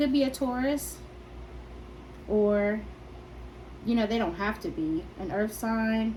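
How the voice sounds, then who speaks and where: A woman at a very slow pace, with long, frequent pauses, ordinary pitch variation, and audible room echo. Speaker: tarot reader. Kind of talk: tarot reading. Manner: hesitant; soft-spoken.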